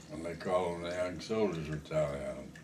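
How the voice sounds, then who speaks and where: Very deep and low, a man's voice carries ordinary pitch variation. Noticeable background noise is present. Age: 80s+. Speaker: war veteran. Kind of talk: reminiscing conversation.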